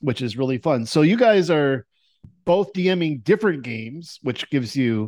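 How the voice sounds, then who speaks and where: A man with an ordinary speaking voice talks at a moderate pace, his fairly high pitch moving in lively intonation over a quiet background. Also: dry, close sound with no echo. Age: 50s. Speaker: dungeon master hosting a tabletop game podcast. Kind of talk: casual interview.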